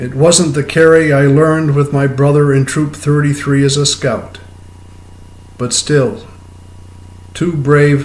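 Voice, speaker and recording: A somewhat breathy man with an American accent, at a very slow pace. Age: 70s. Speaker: poet. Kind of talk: poetry reading.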